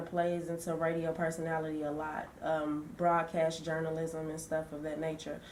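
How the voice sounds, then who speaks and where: The room's echo can be heard clearly. The woman speaks at a moderate pace. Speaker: student intern interviewer. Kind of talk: reading an introduction; interview.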